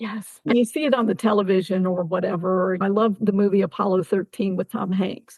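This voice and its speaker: This woman has an ordinary speaking voice with an American accent. Her pitch is medium, her pace fairly quick and her intonation fairly even. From Ohio. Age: 60s. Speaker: army veteran. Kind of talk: interview.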